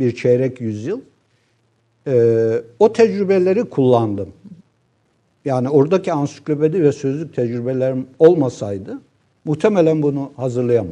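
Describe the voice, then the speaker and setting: A man with a dark, mellow tone and lively intonation speaks with long, frequent pauses. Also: fairly high pitch for a man, fairly slow pace. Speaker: professor. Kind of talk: casual chat.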